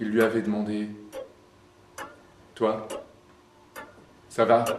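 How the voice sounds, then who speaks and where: Music plays in the background as a man speaks at a very slow pace. His intonation is monotone and flat. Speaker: stage actor. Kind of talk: theatre monologue.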